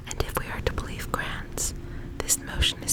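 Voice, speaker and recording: A woman is whispering at a moderate pace. Noticeable background noise can be heard. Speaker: ASMR creator. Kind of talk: ASMR educational facts narration. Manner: whispered.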